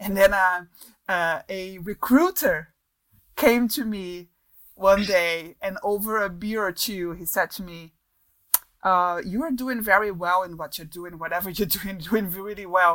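At a fairly slow pace, a woman with a Portuguese accent speaks at a medium pitch, with ordinary pitch variation and big swings in loudness. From Brazil. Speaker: advertising creative director. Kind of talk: interview. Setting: remote call.

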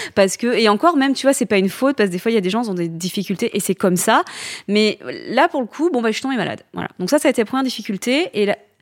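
A woman's ordinary speaking voice at a fairly high pitch, with lively intonation and a dry, close sound with no echo. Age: 30s. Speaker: entrepreneur, founder of a hair-loss accessory brand. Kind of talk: interview.

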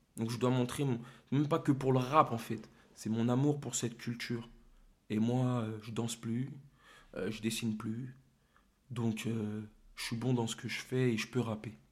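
This man talks at a fairly slow pace, leaving long, frequent pauses. His pitch sits at a medium level and his intonation stays fairly even. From Paris suburbs, Seine-et-Marne (Torcy). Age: young. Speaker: rapper. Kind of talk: casual interview.

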